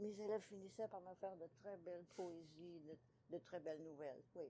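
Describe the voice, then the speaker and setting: A woman is speaking. Her tone is dark and mellow. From Ontario, Canada. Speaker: author and retired teacher. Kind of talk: interview.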